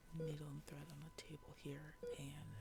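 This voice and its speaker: Someone soft-spoken talks over music in the background. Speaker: ASMR roleplayer playing a surgeon. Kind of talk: ASMR medical roleplay, soft-spoken. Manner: soft-spoken, slow.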